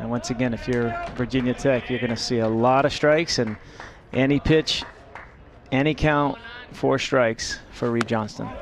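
A man speaks at medium pitch and a moderate pace with fairly even intonation, leaving long, frequent pauses while music plays in the background. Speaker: baseball color analyst, former player. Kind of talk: live sports commentary.

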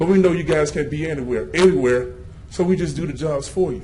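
A man talks with ordinary pitch variation. Audible room echo surrounds his voice. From Louisiana. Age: 30s. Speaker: citizen speaker at public comment. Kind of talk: public comment speech. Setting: city council meeting. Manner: animated.

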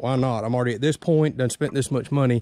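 Over a quiet background, a man with a dark, mellow tone speaks at a fairly quick pace with ordinary pitch variation, the sound dry with no echo. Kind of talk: tutorial. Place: open country. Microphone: phone near.

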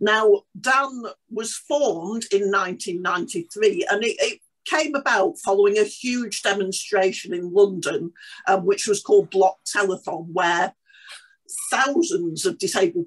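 A woman at a medium pitch and fairly slow pace, with lively intonation and a quiet background. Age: 60s. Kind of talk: online panel presentation. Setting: video call. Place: home room. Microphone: video call.

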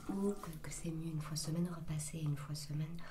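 A woman speaks over noticeable background noise. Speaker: ASMR content creator. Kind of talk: ASMR routine video, casual talk to camera. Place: bathroom. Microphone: studio mic.

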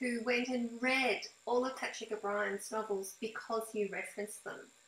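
Audible room echo surrounds a woman whose fairly high voice keeps a fairly even intonation. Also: moderate pace, fairly bright tone.

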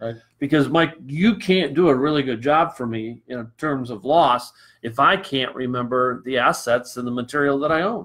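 Medium-pitched with ordinary pitch variation, a man talks at a moderate pace in an American accent. His is an unremarkable speaking voice, set against a quiet background. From Michigan, US Midwest. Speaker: real estate broker; show host. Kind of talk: casual interview. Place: office. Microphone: webcam.

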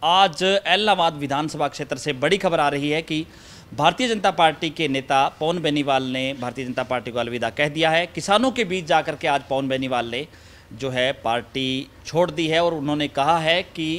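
A man speaks with pitch that varies in an ordinary way, keeping a moderate speed. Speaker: news reporter. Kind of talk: news report intro and interview question. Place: garden. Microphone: handheld.

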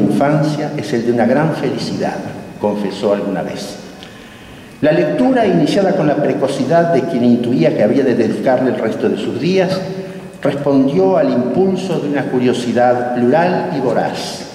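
With a Rioplatense accent, a man talks at a moderate pace in a fairly high pitch with lively intonation, over light background noise and audible room echo. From Buenos Aires, Argentina. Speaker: academy president. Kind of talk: formal welcome speech. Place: hall. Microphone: camera far.

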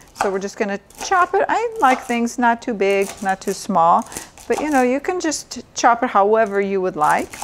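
A woman speaks with lively intonation. Light background noise sits underneath. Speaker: doctor cooking show host. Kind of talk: tutorial. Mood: warm, informative. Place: kitchen.

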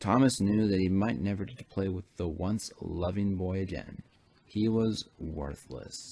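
Intonation remains fairly even. The delivery is plain reading aloud.

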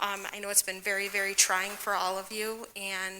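Soft-spoken, flat monotone delivery from a woman at a moderate pace. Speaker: parent speaking at public comment. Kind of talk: prepared public comment. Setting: school board meeting.

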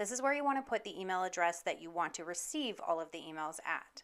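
With lively intonation, a woman talks at a fairly quick pace on a very clean recording with a silent background. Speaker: virtual assistant. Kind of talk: tutorial. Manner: fast.

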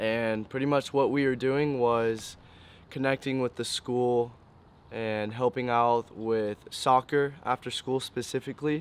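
The delivery is fairly slow, with monotone, flat intonation. The sound is dry with no echo. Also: man. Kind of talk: interview answer. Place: waterside.

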